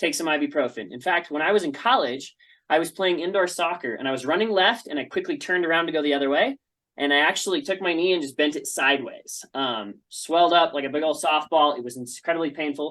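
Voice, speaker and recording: Over a quiet background, a man with a fairly high, bright and sharp voice talks at a very fast pace with ordinary pitch variation. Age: 30s. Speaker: essential oils seller teaching a class. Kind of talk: online presentation class.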